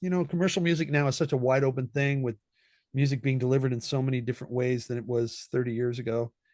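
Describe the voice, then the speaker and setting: Speaking at a very fast pace over a quiet background, a man with a West Coast US accent uses a medium pitch and ordinary pitch variation. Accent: General American (West Coast). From Southern California. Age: 60s. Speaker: session trombonist. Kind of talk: interview conversation. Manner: casual, with many repetitions and fillers.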